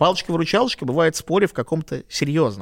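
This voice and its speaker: A man with a fairly high pitch and vocal fry talks at a fairly quick pace. The sound is dry and close with no echo, in a very clean recording with a silent background. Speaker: debate coach. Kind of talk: expert explanation in podcast interview.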